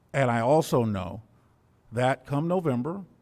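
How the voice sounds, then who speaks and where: Over a very clean recording with a silent background, a man talks at a fairly slow pace with lively intonation. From US South. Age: 60s. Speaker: school board member. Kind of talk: public meeting remarks. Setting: school board meeting. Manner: formal.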